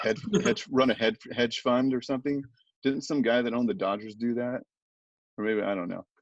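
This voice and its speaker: At a fairly quick pace, a man talks at a medium pitch with ordinary pitch variation and a plain, everyday voice. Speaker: ring announcer. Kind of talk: podcast interview answer. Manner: casual, conversational.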